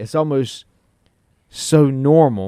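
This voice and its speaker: A man speaks in a medium pitch with ordinary pitch variation. His tone is dark and mellow, the sound dry and close with no echo. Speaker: chiropractor and regenerative medicine doctor. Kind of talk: casual chat. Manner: fast; animated.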